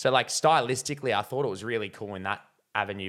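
On a very clean recording with a silent background, a man with an Australian accent speaks in a fairly low voice. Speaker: film reviewer. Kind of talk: casual video movie review. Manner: dry humor, hesitant with fillers.

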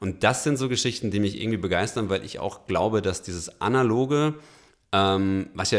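A man talks at a fairly quick pace in an unremarkable speaking voice, with ordinary pitch variation. The recording is very clean, with a silent background. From Franconia, Germany. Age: 30s. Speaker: company founder. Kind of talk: interview.

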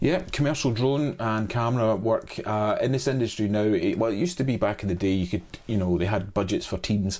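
In a Scottish accent, a man of fairly low pitch speaks at a fairly quick pace with hardly any pauses and lively intonation. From Scotland. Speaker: cameraman and drone pilot. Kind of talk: interview. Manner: hesitant, many fillers.

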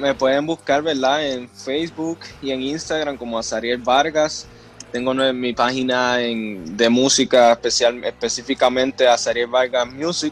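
In a normal speaking voice, a man of medium pitch talks at a fairly slow pace with fairly even intonation. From Puerto Rico, Río Grande. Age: 20s. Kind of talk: interview.

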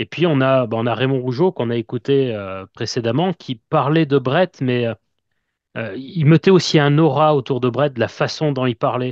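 In a normal speaking voice, a man talks fairly slowly at a medium pitch with ordinary pitch variation. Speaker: wrestling fan podcaster. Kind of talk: interview.

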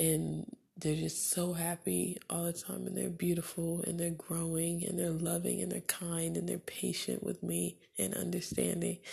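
Soft-spoken and breathy, the voice has a husky, rough edge, vocal fry, a dark, mellow tone and a calm, soothing tone, with monotone, flat intonation at a moderate pace. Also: woman.

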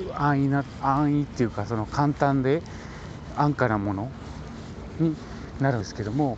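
With long, frequent pauses, a man talks at a fairly high pitch over noticeable background noise. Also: ordinary pitch variation, moderate pace. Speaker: building code inspector podcaster. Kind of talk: casual explanatory monologue.

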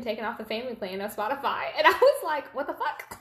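Noticeable background noise fills the recording. A woman is speaking at a fairly quick pace. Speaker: podcast co-host. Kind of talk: casual, chatty.

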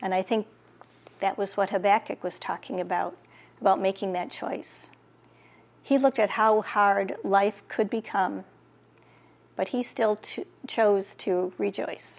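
A woman speaks at a fairly slow pace with long, frequent pauses. Her tone is warm, her pitch medium and her intonation fairly even. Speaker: prayer leader. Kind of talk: fervent prayer, intercessory petitions to God. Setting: online church video broadcast. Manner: earnest.

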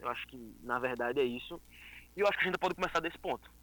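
A man's bright, sharp voice with lively intonation. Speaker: liberal political activist. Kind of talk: casual chat. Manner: halting.

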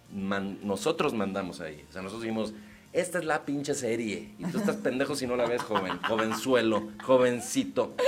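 A man with a medium pitch speaks at a moderate pace with lively intonation. Noticeable background noise is audible. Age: 30s. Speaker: comedian. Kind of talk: casual chat.

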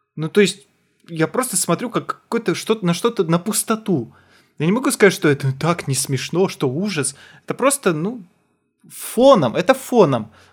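A man's high-pitched voice with very wide pitch swings at a moderate pace, on a very clean recording with a silent background. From Kazakhstan. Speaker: podcast co-host, comedian. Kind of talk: casual chat.

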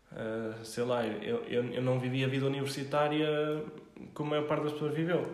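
Noticeable background noise and audible room echo surround speech delivered at a moderate pace with ordinary pitch variation. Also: man, fairly high pitch for a man. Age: 20s. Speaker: startup founder and CEO. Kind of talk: casual interview chat.

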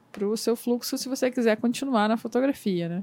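A woman speaks in a plain, everyday voice, fairly high in pitch and fairly quick. The recording is very clean with a silent background. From interior of Rio de Janeiro state. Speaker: podcast host, photographer. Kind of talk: casual interview.

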